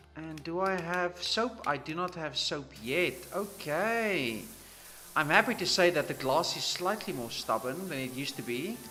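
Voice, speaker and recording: A man with a South African accent, high-pitched, relaxed in tone, at a moderate pace with lively intonation, against noticeable background noise. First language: Afrikaans. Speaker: gaming streamer. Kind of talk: live gameplay commentary. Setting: livestream. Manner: casual, relaxed.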